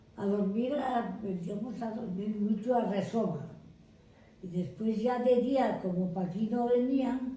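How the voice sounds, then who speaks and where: Speaking at a very slow pace, a woman with a fairly high pitch and ordinary pitch variation is heard amid noticeable background noise and audible room echo. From Cantabria, Liébana. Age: 90s. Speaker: village elder. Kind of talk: interview.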